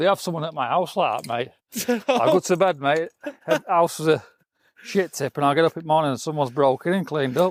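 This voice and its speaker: A man's fairly high-pitched voice at a fairly quick pace, ordinary pitch variation, a normal speaking voice, dry, close sound with no echo. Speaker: podcast host. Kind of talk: interview questions, casual talk.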